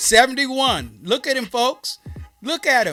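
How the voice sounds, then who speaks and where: Music sounds in the background. The speaking pace is fairly slow. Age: 70s. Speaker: sports talk show host. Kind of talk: casual chat with product promotion.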